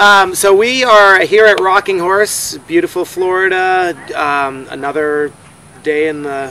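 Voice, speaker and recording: A raised, projected voice comes at a fairly slow pace with ordinary pitch variation over noticeable background noise. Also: man, high pitch for a man. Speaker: horse eventing rider and show co-host. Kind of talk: casual chat. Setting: at a horse show venue. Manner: loud.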